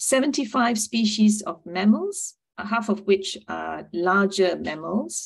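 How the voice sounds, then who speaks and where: Against a quiet background, a woman speaks with vocal fry. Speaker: presenter. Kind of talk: presentation talk. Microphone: video call.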